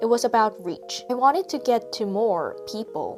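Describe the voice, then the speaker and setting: Music plays in the background. A woman with a Korean accent speaks at a moderate pace. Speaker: artist. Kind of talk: reflective vlog voiceover.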